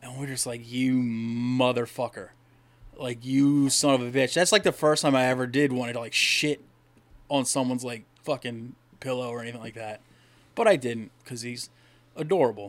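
A man speaks at a moderate pace and medium pitch in an unremarkable speaking voice. His intonation stays fairly even while his loudness swings widely. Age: 30s. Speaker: podcast co-host. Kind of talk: casual chat.

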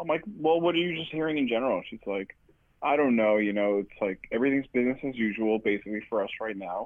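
With lively intonation, a man speaks very fast. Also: medium pitch for a man. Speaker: guest on call. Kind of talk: casual chat. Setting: group call.

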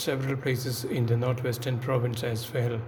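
Against noticeable background noise, a man speaks in a medium-pitched, flat monotone.

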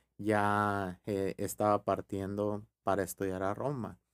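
On a very clean recording with a silent background and a dry, close sound with no echo, a man speaks at a fairly low pitch. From Mexico, Sonora (Ures/Hermosillo). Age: 50s. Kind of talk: interview.

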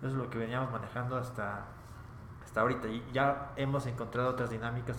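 With a Mexican accent, a man talks at a fairly quick pace in a monotone, flat intonation at medium pitch, with audible room echo. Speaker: rock band member. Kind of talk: casual interview.

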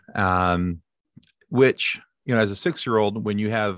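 A fairly low-pitched man speaks with a Midwestern American accent. His pitch varies in an ordinary way against a quiet background. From Michigan, US. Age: 40s. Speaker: podcast host. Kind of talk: casual chat.

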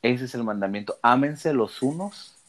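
Ordinary pitch variation runs through a man's speech in a plain, everyday voice. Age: 20s. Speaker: seminarian. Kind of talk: religious discussion.

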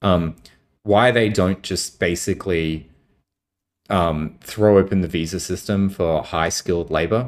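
Over a very clean recording with a silent background, a man with an Australian accent speaks at a fairly slow pace, his very deep, low pitch showing ordinary variation. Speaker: tech startup co-founder. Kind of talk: casual interview.

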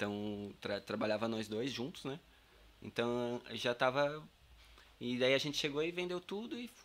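A man with a medium-pitched voice and lively intonation speaks at a fairly slow pace, leaving long, frequent pauses. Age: 30s. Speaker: carpenter and campervan builder. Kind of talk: casual interview.

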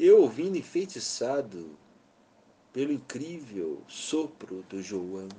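A man's dark, mellow voice at medium pitch, very slow in pace, with very wide pitch swings. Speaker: music industry executive telling memoirs. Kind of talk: memoir narration.

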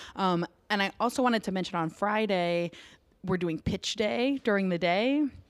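On a very clean recording with a silent background, a woman in an unremarkable speaking voice talks at a moderate pace and medium pitch, with lively intonation and very even loudness. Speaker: nonprofit communications director. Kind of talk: interview. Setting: co-working office.

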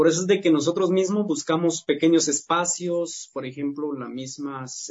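This man has a normal speaking voice, fairly high in pitch, with fairly even intonation at a moderate pace. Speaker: singer in a vocal trio. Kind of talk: interview.

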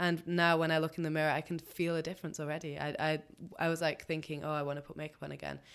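In a very clean recording with a silent background, a woman with a very deep, low pitch speaks at a very fast pace in a monotone, flat intonation. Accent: English. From England. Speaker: podcast co-host. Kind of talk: casual chat.

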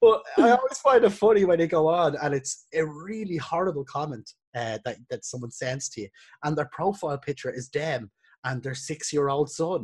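A man with an Irish accent speaks at a moderate pace and fairly high pitch, with big swings in loudness. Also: lively intonation. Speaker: podcast host and videographer. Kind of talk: casual chat.

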